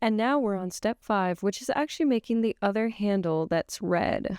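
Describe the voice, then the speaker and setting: In a very clean recording with a silent background and a dry, close sound with no echo, a woman uses a plain, everyday voice at medium pitch, with ordinary pitch variation and a moderate pace. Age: 18. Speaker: cosplay prop maker, YouTuber. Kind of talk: tutorial voice-over. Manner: casual, chatty.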